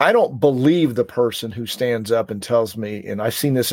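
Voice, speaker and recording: A man with a normal speaking voice talks at a moderate pace and a medium pitch, showing ordinary pitch variation. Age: 50s. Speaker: speaking coach, former financial planner. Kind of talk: interview.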